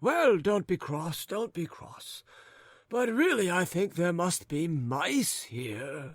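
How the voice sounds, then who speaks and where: In a put-on character voice, a man speaks very slowly at a high pitch, his pitch swinging very widely. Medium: read story. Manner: rambling, fretful; curt, snappish.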